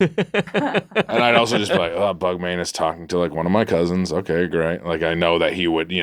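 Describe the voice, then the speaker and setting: With an American accent, a man speaks fairly quickly in a very deep, low pitch and fairly even intonation. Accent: Massachusetts townie. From Massachusetts. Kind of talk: casual, conversational.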